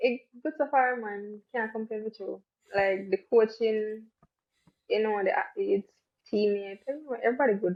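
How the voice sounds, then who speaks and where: A woman speaks with a Jamaican accent at a moderate pace. Her pitch is fairly high, with ordinary pitch variation. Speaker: track athlete. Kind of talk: casual interview.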